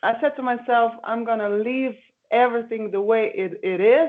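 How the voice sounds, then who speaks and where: A woman talks in a fairly high voice whose pitch varies in an ordinary way. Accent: Slovenian. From Slovenia. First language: Slovenian. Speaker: singer. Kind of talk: interview. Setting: video call. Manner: halting.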